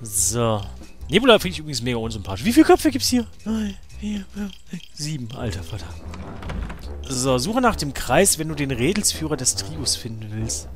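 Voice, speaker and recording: A man talks at a moderate pace, his loudness swinging widely. Noticeable background noise runs behind him. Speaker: let's play gamer. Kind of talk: casual gameplay commentary.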